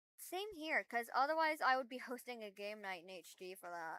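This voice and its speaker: A woman speaks fairly slowly at a high pitch with lively intonation. Her tone is bright and sharp, and the sound is dry and close with no echo. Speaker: streamer. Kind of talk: casual chat. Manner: soft-spoken.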